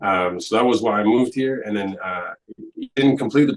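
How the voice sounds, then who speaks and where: A man with a French accent at a fairly quick pace, his pitch varying in an ordinary way. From rural Alberta, Canada (Francophone village north of Edmonton). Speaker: comic book artist. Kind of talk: casual interview.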